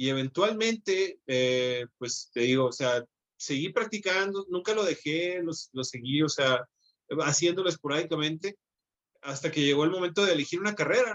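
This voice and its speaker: At a moderate pace, a man with a fairly high pitch talks with lively intonation in a normal speaking voice. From Mexico, Hermosillo, Sonora. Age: 30s. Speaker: comic book artist. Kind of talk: casual interview.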